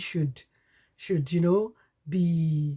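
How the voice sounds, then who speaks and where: A woman with a Nigerian accent speaks in a dark, mellow tone, somewhat breathy and fairly low in pitch. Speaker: podcast host. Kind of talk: personal testimony.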